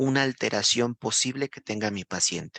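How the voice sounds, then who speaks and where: The sound is dry and close with no echo as a man of medium pitch talks at a moderate pace with fairly even intonation, an ordinary speaking voice. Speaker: nursing instructor. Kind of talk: lecture.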